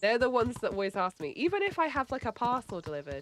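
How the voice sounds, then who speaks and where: Soft-spoken and mumbling, the speaker moves at a fairly quick pace. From England. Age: 20s. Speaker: streamer. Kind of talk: casual livestream chat. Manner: slightly mumbling, soft.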